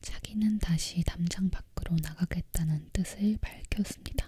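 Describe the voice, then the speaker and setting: Whispering in a calm tone at a very slow pace. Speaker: ASMR content creator. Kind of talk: storybook narration read aloud. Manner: soft-spoken, calm.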